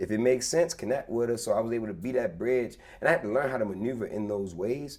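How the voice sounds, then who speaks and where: Speaking very fast with a Baltimore accent, a man uses a medium pitch with ordinary pitch variation. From Baltimore, US. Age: 30s. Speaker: former corporate employee, entrepreneur. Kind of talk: casual interview chat. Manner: halting, repeats words.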